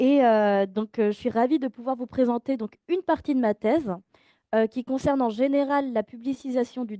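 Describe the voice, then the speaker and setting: A woman speaks at a high pitch with a dark, mellow tone and ordinary pitch variation. Her pace is fairly slow, and the sound is dry and close with no echo. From France. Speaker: PhD researcher. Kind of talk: academic lecture.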